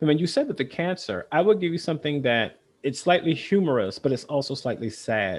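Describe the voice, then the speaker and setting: A man with an American accent and a normal speaking voice, at a fairly quick pace with ordinary pitch variation. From US South. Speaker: state librarian. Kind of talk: casual chat.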